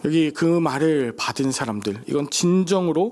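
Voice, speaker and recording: This man's pitch is fairly high. He speaks with lively intonation. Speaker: pastor. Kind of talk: sermon. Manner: animated.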